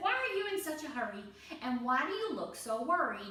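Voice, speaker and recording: In a put-on character voice, this female-sounding speaker talks at a fairly quick pace with a high pitch, very wide pitch swings, and a slight echo. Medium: read story.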